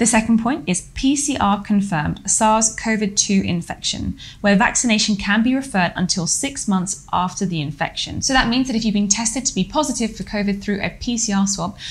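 A woman at a moderate pace, with hardly any pauses and ordinary pitch variation. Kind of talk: explainer lecture. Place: home room.

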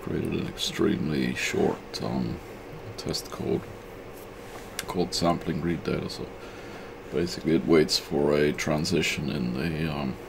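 Noticeable background noise around a man's fairly slow speech. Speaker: presenter. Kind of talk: tutorial. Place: workshop.

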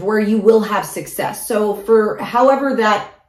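Amid audible room echo, a woman speaks at a fairly slow pace with ordinary pitch variation. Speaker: tarot reader. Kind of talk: casual tarot reading talk. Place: home room.

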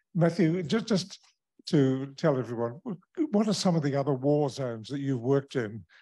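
A man with a New Zealand accent speaks at a moderate pace in a dark, mellow tone with lively intonation. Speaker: event host. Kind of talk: formal introduction. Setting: stage with audience.

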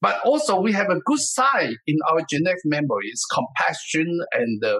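In a Taiwanese accent, a man speaks at a high pitch with a bright, sharp tone and very wide pitch swings. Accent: Taiwanese Mandarin-accented English. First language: Mandarin Chinese. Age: 70s. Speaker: martial arts master and author. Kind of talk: interview.

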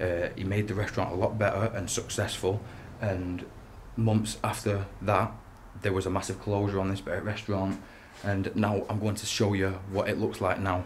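Light background noise sits behind a man speaking at a moderate pace. His voice is fairly low, somewhat breathy and flat, with monotone intonation. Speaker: urban explorer vlogger. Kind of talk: casual vlog chat. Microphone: phone near.

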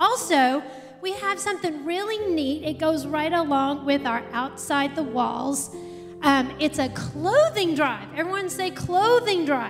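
Clear music plays in the background as a woman speaks at a high pitch and a fairly slow pace. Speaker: speaker. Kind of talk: announcements to congregation. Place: church. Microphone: handheld.

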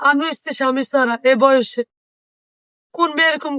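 A woman speaks at a high pitch with a bright, sharp tone. The sound is dry and close, without echo. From Bangladesh, Dhaka. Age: 20s. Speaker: domestic worker and single mother. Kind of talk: interview testimony.

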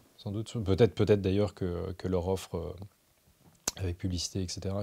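A man's very deep, low voice, dark and mellow in tone and somewhat breathy, flat and monotone at a moderate pace. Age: 30s. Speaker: journalist and essayist; journalist. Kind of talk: interview. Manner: hesitant, many fillers and repetitions. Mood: calm, thoughtful. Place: studio.

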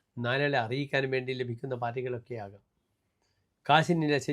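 A plain, everyday voice from a man, medium in pitch with fairly even intonation. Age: 60s. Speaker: astrologer. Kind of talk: horoscope forecast monologue. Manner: formal.

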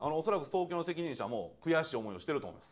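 There's vocal fry in this man's fairly high-pitched voice. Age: 40s. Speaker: administrative scrivener firm head; guest lecturer. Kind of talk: lecture. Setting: lecture hall with audience. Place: classroom.

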